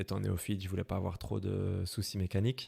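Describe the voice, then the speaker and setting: Fairly low in pitch, a man speaks at a moderate pace in a dark, mellow tone. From Belgium, Brussels. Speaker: motorcycle traveler. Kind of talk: interview. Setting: podcast. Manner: hesitant, many fillers.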